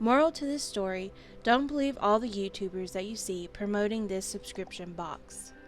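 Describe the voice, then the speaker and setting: With music in the background, a woman speaks at a moderate pace and a medium pitch. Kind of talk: casual review talk to camera. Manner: stuttering, some mispronouncing.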